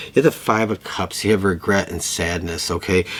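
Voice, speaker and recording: This man speaks at a moderate pace with a fairly low pitch. His intonation stays fairly even. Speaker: tarot reader. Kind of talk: tarot reading monologue.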